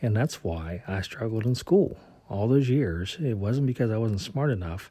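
A dark, mellow, somewhat breathy tone with an American accent at a moderate pace. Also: man. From US South. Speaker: career podcaster. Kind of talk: solo podcast monologue.

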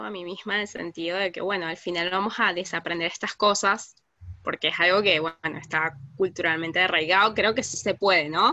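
A woman with a Caracas accent speaks at a medium pitch in a bright, sharp tone. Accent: Venezuelan Spanish (Caracas). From Venezuela, Caracas. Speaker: migrant activist. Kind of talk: interview.

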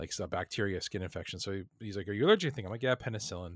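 A man with a Canadian accent, ordinary pitch variation, and a very clean recording over a silent background. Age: 30s. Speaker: podcast co-host. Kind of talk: casual chat.

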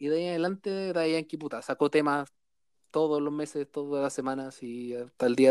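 A man talks at a moderate pace in a fairly high voice with fairly even intonation and big swings in loudness. The sound is dry and close with no echo, in a very clean recording with a silent background. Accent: Chilean. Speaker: podcast host. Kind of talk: casual chat.

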